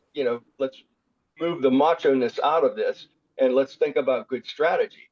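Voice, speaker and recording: Speaking at a moderate pace, the man keeps a fairly even intonation. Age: 60s. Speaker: pickleball coach. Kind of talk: webinar teaching talk. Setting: video call. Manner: halting, many fillers and repeats.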